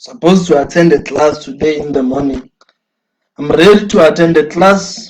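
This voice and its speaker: Here a man speaks with a South African accent in an animated tone. His pitch is fairly high with ordinary variation, and his pace is moderate. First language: Sotho. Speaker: student activist. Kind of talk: address to students, live stream talk. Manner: animated, repetitive.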